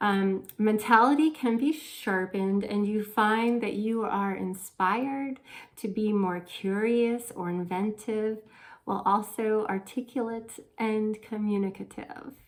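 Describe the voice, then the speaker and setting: A woman speaks at a fairly slow pace. Her voice is fairly high, with fairly even intonation. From born abroad, raised in the United States. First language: non-English language learned first. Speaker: astrologer, tarot reader. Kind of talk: horoscope forecast monologue. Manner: casual, conversational.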